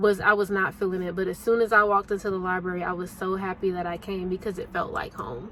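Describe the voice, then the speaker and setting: Over noticeable background noise, a woman with an American accent talks at a very fast pace with hardly any pauses, medium pitch and fairly even intonation. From Alabama, US South. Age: 30s. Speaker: book vlogger. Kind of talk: vlog monologue. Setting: in a car.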